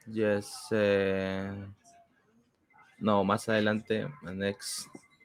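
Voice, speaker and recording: A man's fairly low voice in a Peruvian accent, at a very slow pace with monotone, flat intonation. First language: Spanish. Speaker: English learner. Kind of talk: language lesson. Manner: halting.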